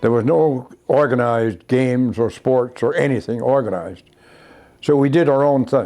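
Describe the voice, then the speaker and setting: A man's medium-pitched voice, dark and mellow in tone, with ordinary pitch variation. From Newfoundland. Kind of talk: interview answer.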